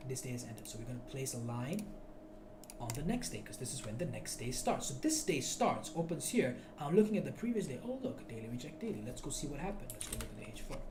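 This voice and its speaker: Very fast speech with audible room echo and music in the background. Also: man. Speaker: forex trading teacher. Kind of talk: tutorial. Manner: loud; animated.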